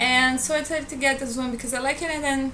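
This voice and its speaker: A high-pitched woman with a Portuguese accent uses a raised, projected voice. The room echo is audible and background noise is noticeable. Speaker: book vlogger. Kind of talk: casual vlog.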